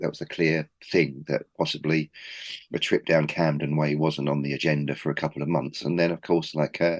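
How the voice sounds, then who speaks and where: With a Cockney accent and a very deep, low pitch, a man talks at a moderate pace, heard dry and close with no echo against a quiet background. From East London. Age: 40s. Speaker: record label founder. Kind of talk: casual interview.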